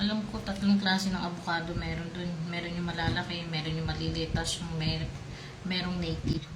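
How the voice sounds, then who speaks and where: A soft-spoken woman with a fairly low pitch speaks at a fairly quick pace in a monotone, flat delivery, with audible room echo and noticeable background noise. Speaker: food vlogger. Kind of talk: casual eating vlog.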